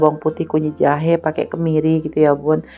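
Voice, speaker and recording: Music plays in the background behind a woman's voice. Her fairly low pitch stays monotone and flat. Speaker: housewife vlogger. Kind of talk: vlog voiceover narration. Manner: casual, with many fillers.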